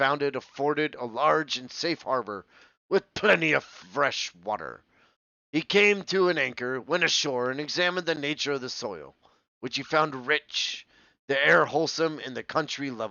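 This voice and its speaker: Putting on a gruff character voice, a man speaks at a fairly high pitch and a moderate pace. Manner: rolling.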